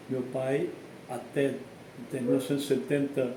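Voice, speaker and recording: Noticeable background noise and audible room echo surround this recording. A man speaks at a moderate pace in a fairly high pitch. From southern Brazil, Santa Catarina (Orleans area, Italian immigrant descent). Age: 70s. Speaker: priest. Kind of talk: interview, life story. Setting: home visit.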